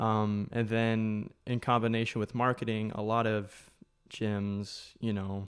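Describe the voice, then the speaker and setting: In a very clean recording with a silent background, a man with a fairly low pitch speaks very slowly in a monotone, flat intonation. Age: 20s. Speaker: gym coach. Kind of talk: casual chat.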